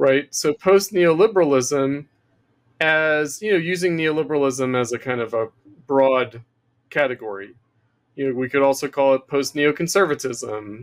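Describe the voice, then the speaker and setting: Using an ordinary speaking voice, a man with an American accent talks at a fairly slow pace, his pitch fairly high with ordinary variation. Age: 50s. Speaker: political theorist. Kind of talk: interview. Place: home room. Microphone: webcam.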